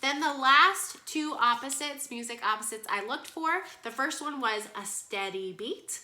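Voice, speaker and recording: A woman speaks in a high, raised, projected voice, animated and with lively intonation, at a moderate pace. She hardly pauses, and background noise is noticeable. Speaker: kindergarten music teacher. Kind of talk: online lesson for young children.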